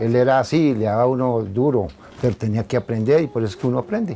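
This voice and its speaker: Fairly quick speech from a man, dark and mellow in tone, with ordinary pitch variation. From Colombia, Suesca (Cundinamarca). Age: 60s. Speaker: former local athlete. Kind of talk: interview. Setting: at his home.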